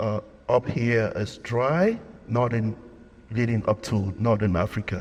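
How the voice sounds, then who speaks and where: Somewhat breathy and medium-pitched, a man speaks at a fairly slow pace with ordinary pitch variation and long, frequent pauses. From Cameroon, anglophone region. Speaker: lawyer and researcher. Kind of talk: lecture.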